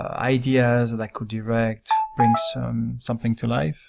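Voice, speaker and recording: On a very clean recording with a silent background, a man with a French accent speaks at a fairly slow pace. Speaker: director and illustrator. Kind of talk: casual walkthrough of own work. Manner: halting, with fillers.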